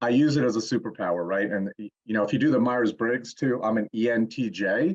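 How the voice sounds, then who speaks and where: A man with a plain, everyday voice speaks at a fairly quick pace. His pitch is medium, with ordinary variation. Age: 60s. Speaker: fitness coach and motivational speaker. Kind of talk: casual interview chat.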